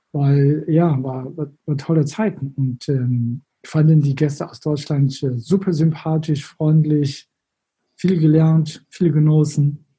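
The speech comes at a very slow pace with a Chinese accent. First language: Chinese (speaking German). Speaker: former tour guide in China. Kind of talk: interview.

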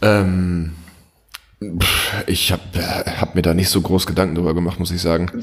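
Fairly slow, monotone, flat delivery. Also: man, very deep, low pitch for a man. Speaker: podcast co-host. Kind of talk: casual chat. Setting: remote call. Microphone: echo, reverberant room.

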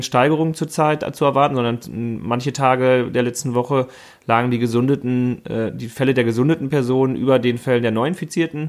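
In an unremarkable speaking voice, a man at medium pitch talks at a fairly quick pace with fairly even intonation on a very clean recording with a silent background. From Münsterland, NRW (Warendorf-Freckenhorst). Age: 30s. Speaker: mayoral candidate. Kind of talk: casual chat.

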